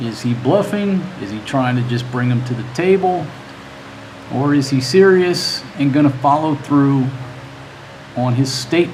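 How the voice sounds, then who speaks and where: A man with a fairly high pitch and ordinary pitch variation speaks with long, frequent pauses. Noticeable background noise and audible room echo fill the recording. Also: moderate pace. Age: 50s. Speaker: livestream host, news commentator. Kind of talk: casual livestream commentary. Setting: live stream. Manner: halting, repeats words.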